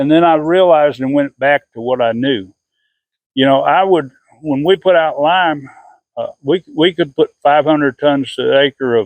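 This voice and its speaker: A man speaks in a normal speaking voice, fairly high in pitch. His pace is moderate and his pitch variation ordinary. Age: 60s. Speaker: gardener and farmer. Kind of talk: tutorial. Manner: casual, with frequent fillers and repetitions.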